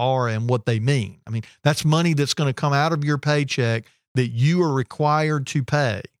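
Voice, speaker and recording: A man with an unremarkable speaking voice at a fairly quick pace and ordinary pitch variation, in a very clean recording with a silent background and a dry, close sound with no echo. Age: 40s. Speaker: business co-owner. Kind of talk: casual chat.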